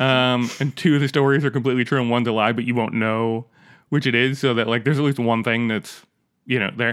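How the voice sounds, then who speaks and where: A man's medium-pitched, flat monotone at a very fast pace, very even in loudness, on a very clean recording with a silent background. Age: 30s. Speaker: podcast co-host. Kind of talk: casual storytelling chat.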